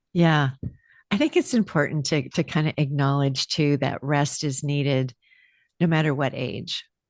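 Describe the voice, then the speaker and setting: Against a quiet background, a woman with a very deep, low pitch talks at a moderate pace with fairly even intonation, the sound dry and close with no echo. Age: 70s. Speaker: podcast host. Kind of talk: casual chat.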